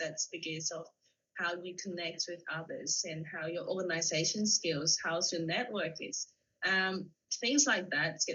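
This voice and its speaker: At a moderate pace, a woman speaks with a fairly low pitch and ordinary pitch variation. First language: not English. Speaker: author and TEDx speaker. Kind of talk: interview answer.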